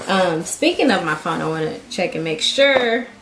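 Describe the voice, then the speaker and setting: Noticeable background noise and audible room echo surround the recording. A woman speaks at medium pitch and a fairly slow pace. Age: 20s. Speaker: vlogger. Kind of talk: casual vlog talk. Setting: at home. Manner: halting.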